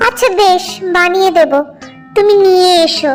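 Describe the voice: A woman does a cartoonish character voice at an extremely high pitch. Clear music plays in the background.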